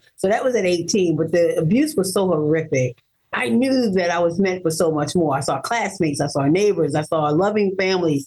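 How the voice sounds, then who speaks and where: An ordinary speaking voice from a woman, fairly low-pitched and fairly quick, with lively intonation and very even loudness. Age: 50s. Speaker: abduction survivor and author of her story. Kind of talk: interview testimony.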